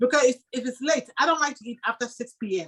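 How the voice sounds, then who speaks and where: A woman speaks with ordinary pitch variation. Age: 60s. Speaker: audience member. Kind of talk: casual chat. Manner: halting.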